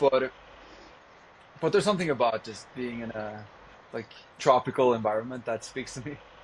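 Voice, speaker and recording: A man with a Norwegian accent talks at a moderate pace in a medium pitch with ordinary pitch variation. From Norway. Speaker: vegan activist. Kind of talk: podcast interview.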